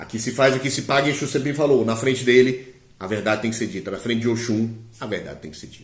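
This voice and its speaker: Very fast, somewhat breathy speech with big swings in loudness and audible room echo. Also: man, medium pitch for a man, ordinary pitch variation. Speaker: Candomblé priest and diviner. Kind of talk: live-stream teaching. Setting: live stream.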